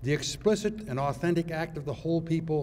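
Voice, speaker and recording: A man with a fairly high yet dark, mellow tone speaks with lively intonation. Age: 80s+. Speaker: retired judge. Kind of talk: symposium speech. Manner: formal.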